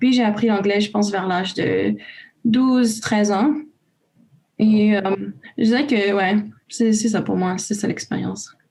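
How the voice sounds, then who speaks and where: This woman talks with a Romanian accent in a dark, mellow, somewhat breathy tone. Her intonation is fairly even, her pace fairly slow, and she takes long, frequent pauses. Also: medium pitch for a woman. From Romania, raised in Canada from age 5. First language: Romanian (speaking French). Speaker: youth volunteer. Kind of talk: casual panel discussion.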